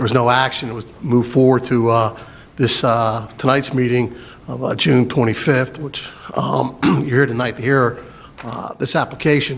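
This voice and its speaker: A man speaks at a moderate pace. His intonation is fairly even, with noticeable background noise. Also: medium pitch for a man. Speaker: county planning staff. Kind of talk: public meeting presentation. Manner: loud; halting, many fillers.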